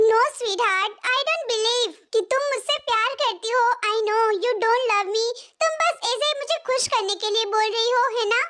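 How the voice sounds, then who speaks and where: A woman performs a put-on character voice at an extremely high pitch. She moves at a fairly quick pace with very even loudness. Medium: read story. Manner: sweet, flirty, mixing English endearments.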